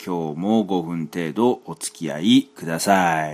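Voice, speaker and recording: The man talks at a very slow pace. His delivery has lively intonation. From Kansai, Japan. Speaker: solo podcaster, hobby singer-songwriter. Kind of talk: casual solo monologue. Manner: halting, many fillers.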